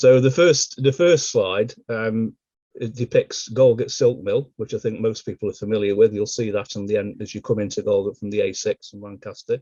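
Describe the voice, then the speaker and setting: At a moderate pace with hardly any pauses, a man speaks at medium pitch with ordinary pitch variation and big swings in loudness. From England, Stoke-on-Trent. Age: 50s. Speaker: local historian. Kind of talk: illustrated history talk.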